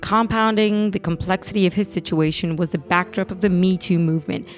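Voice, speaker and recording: Over music in the background, a woman speaks at a moderate pace with a fairly low pitch and ordinary pitch variation. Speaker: podcast host. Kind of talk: podcast episode intro.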